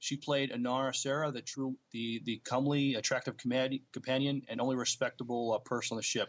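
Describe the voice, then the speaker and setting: Against a quiet background, a man with a medium pitch talks at a fairly quick pace in a normal speaking voice, his intonation fairly even. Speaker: podcast co-host. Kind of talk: casual podcast chat and news reading.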